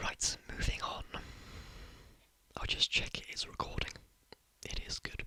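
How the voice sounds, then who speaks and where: A whispering man with a British accent, fairly slow with long, frequent pauses, over noticeable background noise. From Britain. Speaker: ASMR creator. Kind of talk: ASMR whispering. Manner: soft-spoken.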